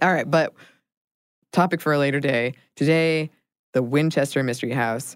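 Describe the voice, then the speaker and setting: With long, frequent pauses, a woman speaks at a very deep, low pitch and fairly even intonation. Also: moderate pace. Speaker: podcast co-host. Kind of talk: casual chat with scripted history segments. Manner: rising question-like intonation when saying her name.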